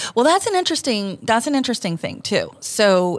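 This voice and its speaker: This very clean recording of a woman has a silent background. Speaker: podcast host. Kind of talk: casual chat. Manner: animated.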